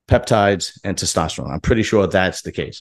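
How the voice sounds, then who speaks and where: A man speaks against a quiet background. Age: 40s. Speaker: bodybuilding YouTuber. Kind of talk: casual commentary monologue. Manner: animated.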